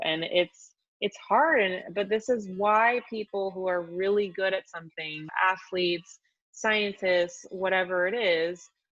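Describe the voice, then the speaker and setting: At a fairly slow pace, a woman with an American accent and a plain, everyday voice talks with ordinary pitch variation. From US Pacific Northwest, Washington State. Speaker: fitness expert and author. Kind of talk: casual chat. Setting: podcast interview.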